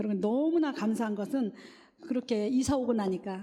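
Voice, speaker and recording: A woman's high-pitched voice at a fairly quick pace, lively intonation, and music playing in the background. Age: 60s. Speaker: church deaconess giving testimony. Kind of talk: testimony.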